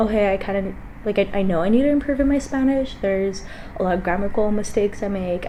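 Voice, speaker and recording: With an American accent, a woman at medium pitch speaks fairly quickly over noticeable background noise and audible room echo. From Los Angeles, California (Lincoln Heights). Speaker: college student vlogger. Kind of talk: casual vlog talk. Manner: hesitant with fillers.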